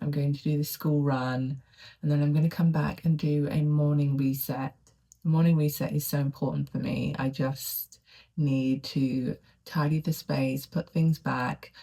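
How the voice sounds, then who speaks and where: Soft-spoken, a woman talks at a fairly slow pace with fairly even intonation and a very deep, low pitch. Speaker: lifestyle vlogger. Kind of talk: casual vlog monologue. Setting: home study. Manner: quiet, soft-spoken.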